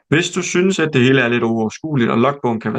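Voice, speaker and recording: This man has an unremarkable speaking voice, medium in pitch with ordinary variation, and he talks at a fairly quick pace. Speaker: emergency medicine trainee doctor presenting to new trainees. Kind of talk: recorded presentation / lecture. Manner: list reading, numbered enumeration.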